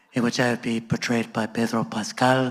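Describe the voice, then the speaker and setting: Flat and monotone, a medium-pitched man with an American accent talks at a moderate pace. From Los Angeles. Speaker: sociology professor. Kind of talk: onstage panel conversation. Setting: stage with live audience. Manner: hesitant with filler words, joking.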